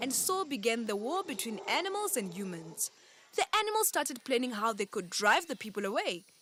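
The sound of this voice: The reading voice here is unforced.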